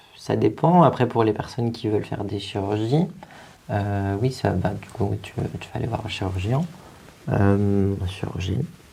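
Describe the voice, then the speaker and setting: A man with a fairly low pitch talks at a fairly slow pace, leaving long, frequent pauses. His loudness swings widely and his pitch varies in an ordinary way, with noticeable background noise behind him. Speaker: drag performer. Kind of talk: talk show interview. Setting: studio. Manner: hesitant.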